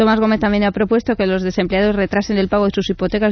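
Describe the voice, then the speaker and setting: A woman talks at a medium pitch. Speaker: radio co-host. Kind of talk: news reading.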